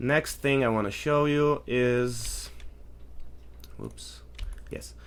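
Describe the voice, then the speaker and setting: The speaker talks at a very slow pace with a non-native accent. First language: not English. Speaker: 3D artist and tool developer. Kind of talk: tutorial. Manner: casual, halting with fillers.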